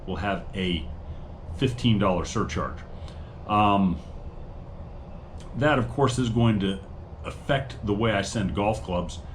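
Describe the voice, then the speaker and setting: Audible room echo surrounds a man with a fairly low, somewhat breathy voice. His intonation is lively. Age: 50s. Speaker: online reseller and channel host. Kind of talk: casual monologue. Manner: hesitant, many fillers.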